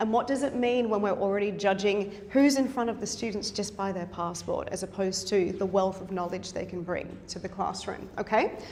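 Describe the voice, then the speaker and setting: A woman talks at a fairly quick pace in an Australian accent, at a medium pitch with fairly even intonation. There is audible room echo and noticeable background noise. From South Africa. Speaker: university instructor and researcher. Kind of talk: conference presentation. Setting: conference session with audience.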